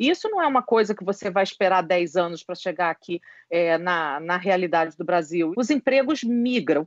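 A woman speaks in a normal speaking voice. Her intonation is lively. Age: 50s. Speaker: HR consultant and psychologist. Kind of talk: interview.

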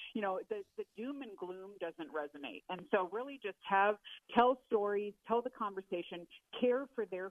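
A woman with a normal speaking voice talks at a moderate pace, her medium pitch carried by lively intonation. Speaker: policy analyst. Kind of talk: interview.

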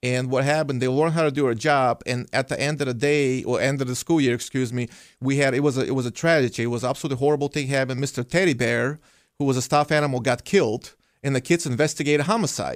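Over a silent background in a very clean recording, a man speaks very fast at a medium pitch with fairly even intonation. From Belarus. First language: Russian or Belarusian. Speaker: police officer. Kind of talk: radio interview.

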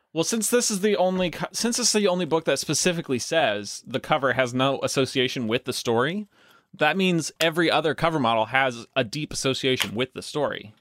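Recorded very cleanly against a silent background, a man talks fairly quickly at a fairly high pitch with very wide pitch swings and a dry, close sound with no echo. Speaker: podcast host. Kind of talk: casual banter. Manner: joking, animated, does silly accents.

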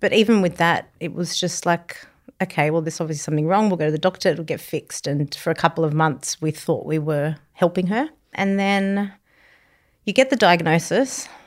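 A woman with an Australian accent speaks at a fairly low pitch with ordinary pitch variation in a very clean recording with a silent background. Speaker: charity founder, bereaved mother. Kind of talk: interview, emotional personal story. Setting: studio, on a couch.

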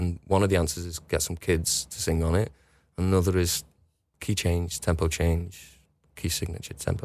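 With a Liverpool accent, a man speaks in a very deep, low voice with fairly even intonation, captured on a very clean recording with a silent background. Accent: Liverpool (Scouse). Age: 40s. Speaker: musician. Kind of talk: casual chat. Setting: studio. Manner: halting.

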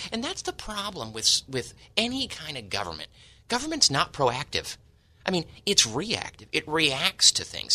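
A man with an American accent at a moderate pace, over a quiet background. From San Diego, California. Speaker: school board member. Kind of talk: radio talk show discussion. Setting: studio.

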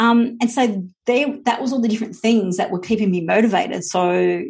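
At a fairly quick pace, a woman talks in a somewhat breathy voice with a fairly high pitch and ordinary pitch variation. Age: 40s. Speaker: business coach. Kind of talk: casual chat. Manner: hesitant, many fillers.

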